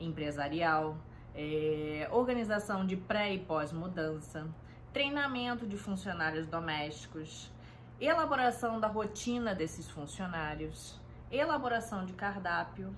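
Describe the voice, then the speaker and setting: In a Carioca accent, a woman with a fairly low pitch speaks at a fairly slow pace with lively intonation, with audible room echo. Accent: Carioca (Rio). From Rio de Janeiro, Brazil. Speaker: home organization consultant. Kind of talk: casual self-introduction talk. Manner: hesitant, many fillers.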